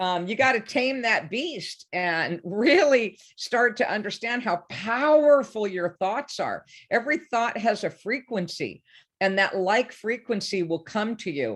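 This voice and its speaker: A woman speaks in a normal speaking voice at a fairly slow pace, her pitch fairly high. Her intonation is lively, and the background is quiet. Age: 60s. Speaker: life coach. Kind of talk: interview.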